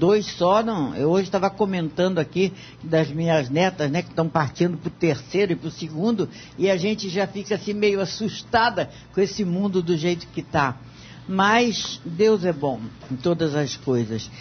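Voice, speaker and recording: A woman speaks at a fairly slow pace in a fairly low pitch. Her voice is somewhat breathy, with lively intonation. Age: 70s. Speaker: radio debate panelist. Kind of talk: radio debate.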